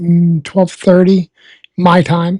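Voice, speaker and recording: With a Massachusetts accent, a woman speaks at a very slow pace in a medium pitch, her dark, mellow tone somewhat breathy and the sound dry and close with no echo. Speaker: live weather streamer. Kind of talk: live weather commentary. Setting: live stream. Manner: calm.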